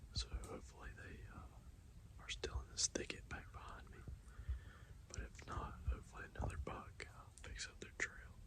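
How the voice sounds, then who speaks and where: A man whispers at a moderate pace, his loudness swinging widely. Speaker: hunter vlogger. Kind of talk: hunting vlog narration. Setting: outdoors in the woods. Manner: quiet, hushed.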